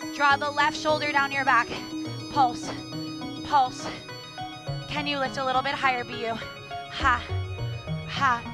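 A woman at a fairly slow pace with long, frequent pauses, clear music in the background. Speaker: fitness instructor. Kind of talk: workout class cueing. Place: gym.

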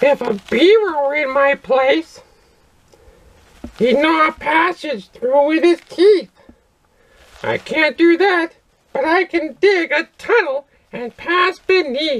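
A cartoonish character voice, high in pitch, moves at a fairly slow pace. Long, frequent pauses break up the speech. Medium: puppet. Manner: grumpy, indignant.

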